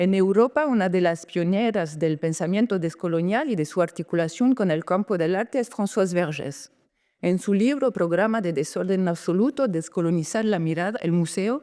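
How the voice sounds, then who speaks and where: Lively in intonation and dark, mellow in tone, a woman speaks at a moderate pace with very even loudness. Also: medium pitch for a woman, very clean recording, silent background. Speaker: lecturer. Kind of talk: conference lecture. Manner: halting, self-correcting.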